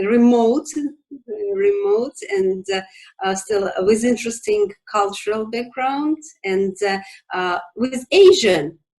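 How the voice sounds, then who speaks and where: Using very wide pitch swings at a fairly high pitch, a woman speaks at a very slow pace with long, frequent pauses. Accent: Russian. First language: Russian. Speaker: business organization representative. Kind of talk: interview. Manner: halting, many fillers.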